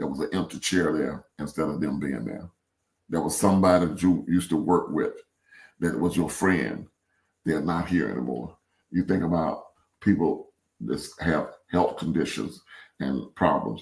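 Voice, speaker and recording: A man with a very deep, low pitch and vocal fry talks at a moderate pace. His pitch varies in an ordinary way, and he takes long, frequent pauses. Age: 70s. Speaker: podcast co-host. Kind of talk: casual chat. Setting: live broadcast.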